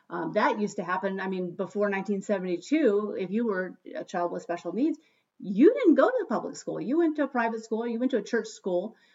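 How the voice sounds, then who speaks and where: A woman with a normal speaking voice talks at a moderate pace and fairly high pitch, her intonation lively. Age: 50s. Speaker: podcast host, school educator. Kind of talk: casual chat. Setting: at home.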